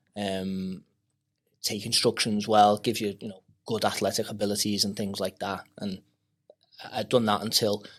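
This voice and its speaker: On a very clean recording with a silent background, a man with a Liverpool accent speaks at a moderate pace in a fairly low, flat monotone, with long, frequent pauses. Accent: Liverpool (Scouse). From Maghull, Merseyside, England. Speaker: MMA fighter and coach. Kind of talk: podcast interview. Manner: hesitant, many fillers.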